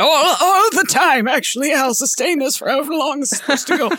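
Someone uses a put-on character voice. The delivery comes at a very fast pace. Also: woman, high pitch for a woman. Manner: mock-grand, sustained put-on voice.

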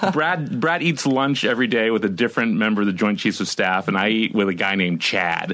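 Lively intonation marks this man's fairly quick delivery, with hardly any pauses. His loudness stays very even. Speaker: novelist, podcast guest.

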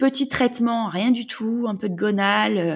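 Her fairly high pitch shows ordinary variation as this woman speaks. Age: 30s. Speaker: mother in fertility treatment. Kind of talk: testimony. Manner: halting.

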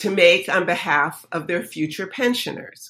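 On a very clean recording with a silent background, a woman with an American accent speaks in a bright, sharp tone. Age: 70s. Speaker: professor. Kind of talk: interview.

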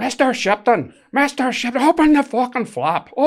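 Someone uses a put-on character voice in a Northern Irish accent, fairly high in pitch and at a fairly slow pace. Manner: demanding.

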